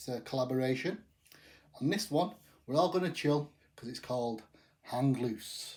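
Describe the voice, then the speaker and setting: Speaking with an English accent, a man uses a fairly high pitch and lively intonation at a moderate pace, with big swings in loudness and long, frequent pauses. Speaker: craft beer reviewer. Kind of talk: casual talk to camera.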